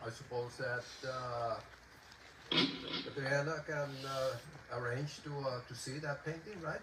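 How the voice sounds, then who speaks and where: Fairly even intonation comes at a fairly slow pace with long, frequent pauses, amid noticeable background noise and audible room echo. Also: man, fairly high pitch for a man. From Puerto Rico. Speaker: composer and poet. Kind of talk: concert introduction talk. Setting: outdoor concert in a garden. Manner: halting.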